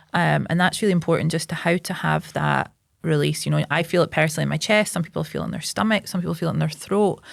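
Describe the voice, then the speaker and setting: A woman with a Scottish accent talks very fast, with hardly any pauses. The recording is very clean, its background silent. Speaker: psychotherapist and local politician. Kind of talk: casual chat. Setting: podcast interview. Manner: loud.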